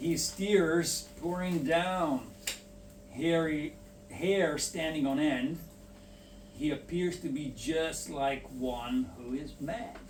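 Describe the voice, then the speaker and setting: Speech with ordinary pitch variation moves at a very slow pace, with audible room echo. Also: man, fairly high pitch for a man. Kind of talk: reading aloud.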